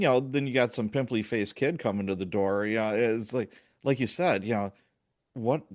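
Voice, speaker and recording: A plain, everyday voice from a man with an American accent, medium pitch, ordinary pitch variation and a fairly quick pace over a quiet background. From US Midwest, Chicago. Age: 60s. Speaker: podcast host, police sergeant. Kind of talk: podcast interview.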